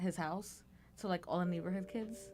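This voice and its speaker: Backed by music, a woman with an American accent speaks at a medium pitch. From North Carolina, then Aurora, Illinois. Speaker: dating show guest. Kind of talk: casual chat.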